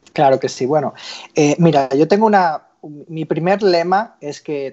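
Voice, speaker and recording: Fairly slow speech from a man, the pitch varying in an ordinary way. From Spain, Barcelona. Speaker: sales executive, former footballer. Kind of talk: interview. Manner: halting.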